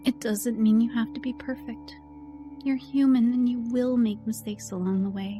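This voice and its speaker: Soft-spoken, a woman talks in a soothing, gentle tone with music in the background. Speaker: voiceover artist / ASMR encouragement creator. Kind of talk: ASMR affirmation / comforting self-help talk. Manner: soft-spoken, soothing, gentle.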